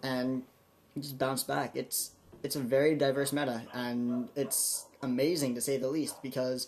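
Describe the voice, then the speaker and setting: Monotone, flat delivery from a man at medium pitch and a fairly slow pace. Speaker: YouTuber discussing card game. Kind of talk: casual vlog monologue. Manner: stuttering, halting.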